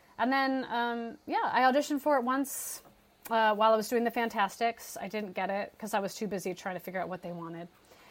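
A woman talks at a very fast pace in a fairly high pitch with ordinary pitch variation. Noticeable background noise runs underneath. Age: 40s. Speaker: musical theater actress. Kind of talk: casual chat.

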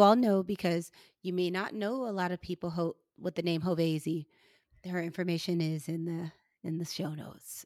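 In a very clean recording with a silent background and a dry, close sound with no echo, a woman with an American accent and a plain, everyday voice speaks at a moderate pace in a fairly low pitch with fairly even intonation. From St. Louis, Missouri, US Midwest. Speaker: podcast host, psychiatrist. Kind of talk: casual interview chat.

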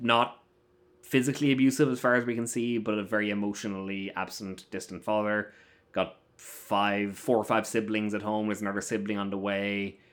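In a very clean recording with a silent background, a man speaks at a moderate pace, his fairly low voice keeping a fairly even intonation. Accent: southern Irish. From Ireland, Waterford area (south coast). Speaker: film festival critic. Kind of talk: casual chat.

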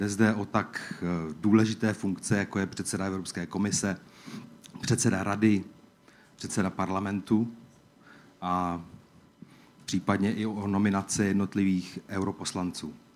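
A man speaks with a Czech accent at a fairly low pitch, his intonation flat and monotone. He leaves long, frequent pauses. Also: moderate pace. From Czech Republic. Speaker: EU official. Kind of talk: opening speech.

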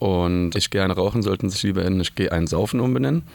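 Here a man with an unremarkable speaking voice and a fairly low pitch talks with lively intonation. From Germany, Mainz. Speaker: punk band singer and author. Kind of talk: casual chat. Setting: radio studio.

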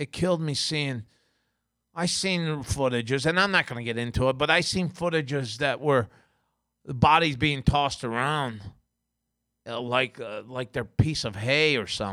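On a very clean recording with a silent background, a man with a bright, sharp tone talks at a moderate pace, using ordinary pitch variation and long, frequent pauses. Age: 50s. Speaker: podcast host. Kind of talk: angry rant. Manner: emotional, profane; rambling, repetitive.

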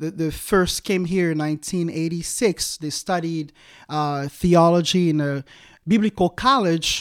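A man with a Congolese accent at a high pitch and fairly slow pace, in a very clean, dry, close recording with no echo and a silent background. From Democratic Republic of the Congo. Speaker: evangelist. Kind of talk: interview. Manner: laughs often.

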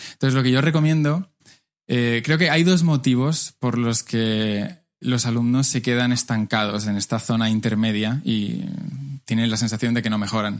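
This man talks at a moderate pace, his medium pitch showing ordinary variation. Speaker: Spanish teacher, YouTuber. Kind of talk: interview.

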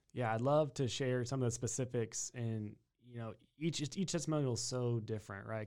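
Recorded very cleanly with a silent background, a man with a Texan accent talks at a fairly quick pace at medium pitch, his pitch varying in an ordinary way. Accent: Texan American. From Texas (New Braunfels). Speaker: chiropractor. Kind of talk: interview.

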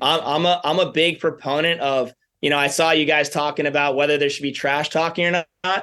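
Speaking in an American accent at a fairly quick pace, a man uses a fairly high pitch, a bright, sharp tone and monotone, flat intonation. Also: very even loudness. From New York. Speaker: college tennis head coach. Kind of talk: interview.

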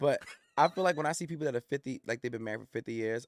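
The speaker has an American accent and talks at a very fast pace with ordinary pitch variation. The recording is very clean, with a silent background and a dry, close sound with no echo. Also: man. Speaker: former therapist turned coach. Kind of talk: casual chat. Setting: studio.

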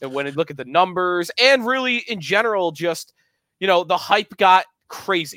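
In a raised, projected voice, a man at a high pitch speaks at a moderate pace with lively intonation and a bright, sharp tone, in a dry, close sound with no echo. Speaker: sports podcast host. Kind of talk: casual chat.

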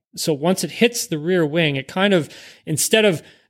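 A man with an unremarkable speaking voice talks at a fairly high pitch with ordinary pitch variation. The recording is very clean, with a silent background. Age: 30s. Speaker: former professional race car driver. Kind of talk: casual chat.

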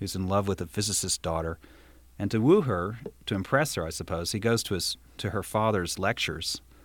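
The speaker is reading aloud in a natural voice. Pitch varies in an ordinary way.

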